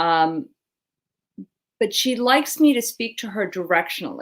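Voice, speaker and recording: The speaker has a plain, everyday voice. Delivery is at a moderate pace with lively intonation. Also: woman. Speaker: general surgeon, talk show co-host. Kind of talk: casual medical talk show chat. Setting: live video talk show.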